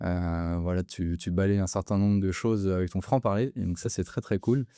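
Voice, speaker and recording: A man's dark, mellow voice at a fairly low pitch and fairly quick pace, with fairly even intonation, dry and close with no echo, against a quiet background. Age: 30s. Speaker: podcast host. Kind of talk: podcast interview.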